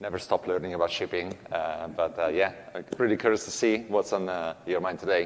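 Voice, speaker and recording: Over noticeable background noise, a man with an Italian accent and a very deep, low pitch talks at a fairly quick pace with hardly any pauses and fairly even intonation. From Italy. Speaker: shipping product manager. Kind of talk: conference workshop talk. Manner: halting, many fillers.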